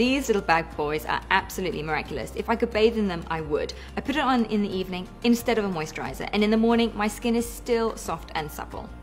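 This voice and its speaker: Faint music plays in the background as the speech races along at a very fast pace. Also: woman, hardly any pauses. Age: 30s. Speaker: mother, product tester. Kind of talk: product testimonial. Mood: upbeat, enthusiastic. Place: home room.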